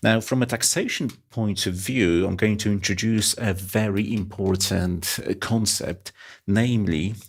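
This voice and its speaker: Very slowly and with fairly even intonation, a man with a non-native accent speaks at a fairly low pitch in a very clean recording with a silent background. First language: not English. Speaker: finance exam tutor. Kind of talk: lecture. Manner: halting.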